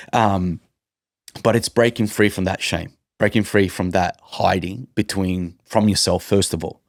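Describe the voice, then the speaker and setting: An animated man with an Italian accent and a fairly low pitch is heard on a very clean recording with a silent background and a dry, close sound with no echo. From Italy. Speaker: mindset and leadership coach. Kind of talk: podcast interview.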